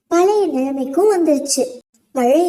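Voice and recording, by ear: At a moderate pace, a woman speaks with lively intonation in a dark, mellow tone.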